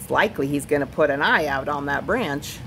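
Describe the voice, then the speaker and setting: Someone uses a whiny put-on character voice at a low-to-middle pitch and a fairly quick pace, with clear background noise behind it. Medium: read story. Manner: whining, chiding.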